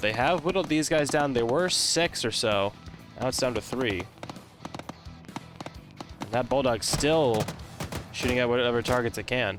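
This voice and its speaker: With music in the background, a man with a medium pitch and ordinary pitch variation speaks with long, frequent pauses. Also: moderate pace. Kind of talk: live esports-style shoutcasting commentary on a military simulation game match. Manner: casual, conversational play-by-play.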